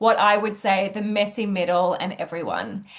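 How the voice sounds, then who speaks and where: A woman with an Australian accent speaks at a fairly slow pace and a fairly high pitch against a quiet background. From Australia, Sydney. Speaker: executive coach. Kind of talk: interview.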